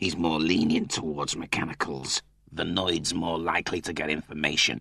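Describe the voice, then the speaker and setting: A man does a put-on character voice at a very deep, low pitch and a moderate pace. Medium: read story.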